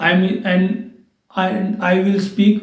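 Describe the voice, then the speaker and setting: Reverberation from the room can be heard behind a flat, monotone delivery. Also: man. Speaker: English teacher. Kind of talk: tutorial. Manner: slow; halting.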